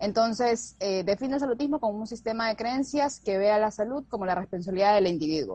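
Somewhat breathy and dark, mellow in tone, a woman talks at a fairly quick pace with a fairly high pitch and ordinary pitch variation. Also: hardly any pauses. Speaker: nutritionist. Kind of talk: casual chat. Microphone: unstable internet connection.

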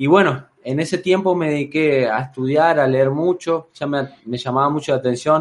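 A normal speaking voice at a moderate pace, with fairly even intonation and hardly any pauses. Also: man, fairly high pitch for a man. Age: 20s. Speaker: life coach. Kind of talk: interview.

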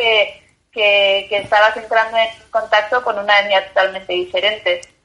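Her pitch fairly high, a woman speaks at a fairly slow pace. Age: 30s. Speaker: journalist and bicycle traveller. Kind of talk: interview. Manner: halting, repeats words.

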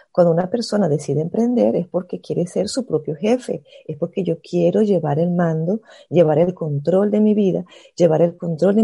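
A woman speaks at a moderate pace with a fairly low, somewhat breathy voice and a dark, mellow tone. Her intonation is lively, and the background is quiet. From Venezuela, Caracas. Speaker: network marketing entrepreneur. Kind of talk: casual chat.

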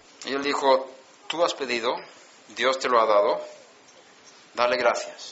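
With audible room echo and noticeable background noise, a man at a medium pitch speaks at a fairly slow pace in fairly even intonation, with long, frequent pauses. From Sweden. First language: Swedish (speaking Spanish). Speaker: preacher. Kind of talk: sermon.

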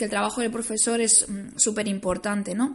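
The voice is somewhat breathy and its intonation fairly even. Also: woman. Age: 30s. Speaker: vocational school teacher. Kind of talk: personal testimony interview. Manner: hesitant, many fillers.

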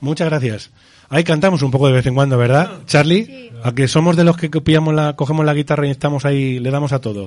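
At a very fast pace, a man talks in a fairly high pitch with ordinary pitch variation. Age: 40s. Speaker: radio host and psychologist. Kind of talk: casual group radio show. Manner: animated.

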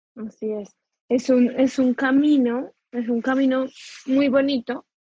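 A woman with a Colombian accent speaks in a high pitch and a monotone, flat intonation. The sound is dry and close, with no echo. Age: 30s. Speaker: podcast host and psychologist. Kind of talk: interview; scripted intro.

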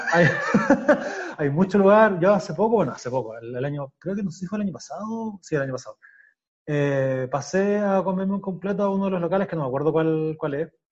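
A man talks fairly quickly in a high voice, his intonation lively. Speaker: podcast host. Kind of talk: casual chat.

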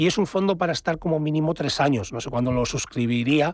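With ordinary pitch variation, the talking runs at a very fast pace. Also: man. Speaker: investment fund advisor. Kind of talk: radio call-in advice.

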